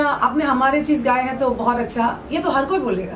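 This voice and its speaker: With light background noise behind her, a woman speaks fairly slowly in a high voice. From Assam, India. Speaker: folk singer. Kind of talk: interview answer. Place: home room. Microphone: handheld.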